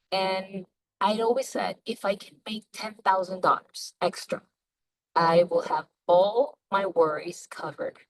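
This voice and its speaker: Speaking fairly slowly with a non-native accent, a woman uses a medium pitch, ordinary pitch variation and big swings in loudness. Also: dry, close sound with no echo. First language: not English. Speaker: network marketer. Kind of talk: sales pitch. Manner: halting.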